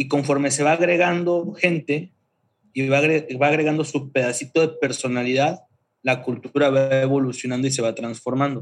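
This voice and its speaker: This man has an ordinary speaking voice, fairly high in pitch. He keeps a moderate pace with fairly even intonation. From Mexico, Chiapas (Tuxtla Gutiérrez). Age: 30s. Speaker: creative agency founder. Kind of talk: casual interview.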